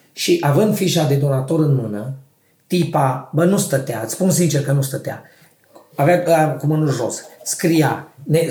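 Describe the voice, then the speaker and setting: Audible room echo surrounds a man speaking at a moderate pace, fairly high in pitch with ordinary pitch variation. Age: 40s. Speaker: podcast co-host. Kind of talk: casual chat.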